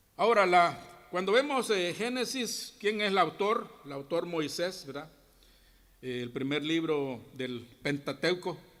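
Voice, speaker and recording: Speaking at a very slow pace, a man with a high pitch is heard on a very clean recording over a silent background. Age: 60s. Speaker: Bible teacher at a church. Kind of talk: Bible class teaching. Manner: halting, many false starts.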